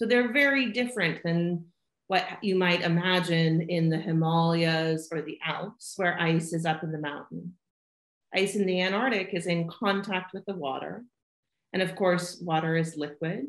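A woman with a fairly low pitch speaks at a moderate pace with ordinary pitch variation, some audible room echo and a quiet background. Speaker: remote interviewee. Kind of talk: interview answer. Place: home room. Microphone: video call.

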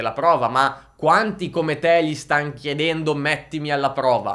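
A bright, sharp tone comes through against a quiet background. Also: man. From northern Italy, Lombardy (Crema); Lombardy, Italy. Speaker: music marketing entrepreneur; music marketing creator. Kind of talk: youtube monologue. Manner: animated. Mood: frank, mildly exasperated. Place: studio. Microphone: studio mic.

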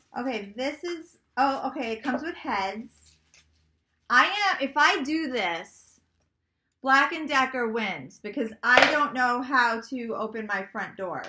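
In an animated tone, a woman with a high pitch speaks at a fairly slow pace with lively intonation. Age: 40s. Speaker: lifestyle YouTuber and blogger. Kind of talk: casual unboxing vlog. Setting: home office. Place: home room.

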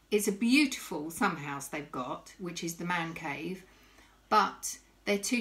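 This woman has a fairly low pitch and speaks at a fairly slow pace. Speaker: vlogger. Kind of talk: casual vlog chat. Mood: anxious but reflective. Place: kitchen. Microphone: phone near.

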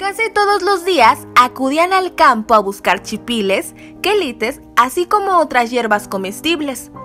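Music plays in the background as a woman with a high pitch projects a raised voice at a fairly slow pace, her pitch swinging very widely. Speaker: news reporter. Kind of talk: news report narration.

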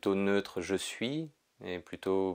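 Soft-spoken and at a very slow pace, a man with a very deep, low pitch and ordinary pitch variation uses a calm, soothing tone against a quiet background. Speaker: yoga teacher. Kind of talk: guided meditation. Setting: pre-recorded video session. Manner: slow, soft, calm and soothing, with long pauses. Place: home room.

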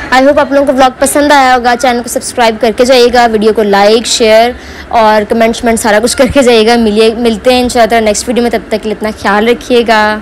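A woman talks at a moderate pace with hardly any pauses and monotone, flat intonation over light background noise. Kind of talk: casual vlog chat.

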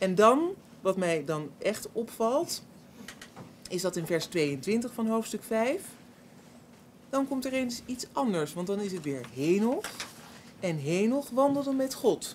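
A woman's very slow, fairly high-pitched speech with very wide pitch swings, long, frequent pauses, and light background noise. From Netherlands. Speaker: panelist. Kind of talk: bible study discussion. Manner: halting. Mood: curious, reflective. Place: hall. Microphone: podium.

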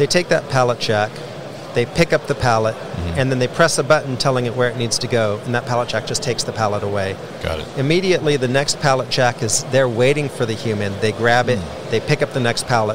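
A man talks at a very fast pace. The sound is dry with no echo, and noticeable background noise can be heard. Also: ordinary pitch variation. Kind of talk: interview answer. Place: hall.

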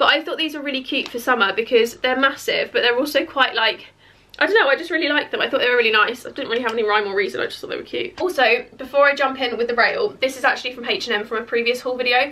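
A woman's fairly high voice, bright and sharp in tone, moves at a fast pace with ordinary pitch variation.

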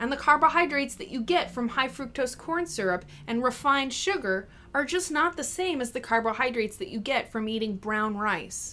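A woman's bright, sharp tone comes in a raised, projected voice with lively intonation. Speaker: health coach. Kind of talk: live chat answer, explanatory talk. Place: home room. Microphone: webcam.

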